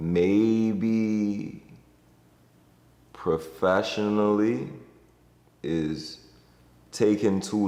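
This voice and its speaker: With audible room echo, a man speaks in a Bahamian accent with ordinary pitch variation. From Bahamas. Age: 20s. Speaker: entertainer and creative director. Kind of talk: interview monologue. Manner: casual, conversational.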